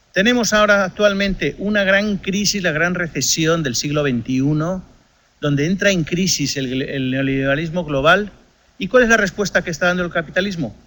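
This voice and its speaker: A man speaks at a moderate pace with a high pitch and ordinary pitch variation. His tone is bright and sharp. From Spain. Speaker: economics lecturer. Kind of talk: lecture.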